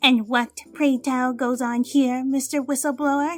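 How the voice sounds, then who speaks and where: In a put-on character voice, a female-sounding speaker talks at a moderate pace with a high pitch. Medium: audio drama. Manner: calm, dry and playful.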